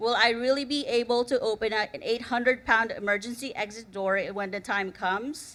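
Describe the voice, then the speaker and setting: A woman's fairly high, bright, sharp voice with a non-native accent, ordinary pitch variation and a moderate pace. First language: not English. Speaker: conference speaker, researcher. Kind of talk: conference talk. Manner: storytelling, slightly halting.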